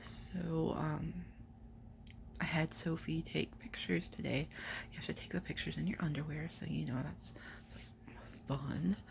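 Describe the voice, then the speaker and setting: Quietly, at a moderate pace, a woman speaks with long, frequent pauses. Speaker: writer and vlogger. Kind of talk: personal vlog update. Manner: halting.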